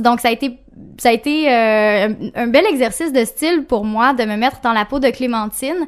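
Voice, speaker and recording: The speaker has a Quebec accent and ordinary pitch variation at a moderate pace. The recording is very clean, with a silent background. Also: woman. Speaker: author. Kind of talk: interview. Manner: halting, many fillers.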